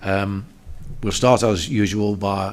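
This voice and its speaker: A man speaks at a fairly low pitch. Audible room echo surrounds his voice. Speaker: council committee chair. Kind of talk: formal public meeting. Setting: council meeting room, webcast. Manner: halting with many fillers.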